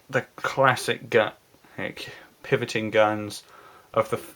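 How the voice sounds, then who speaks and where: A man is speaking. His pace is very slow. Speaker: YouTuber reviewing toys. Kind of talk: casual product review. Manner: halting, with pauses and stutters.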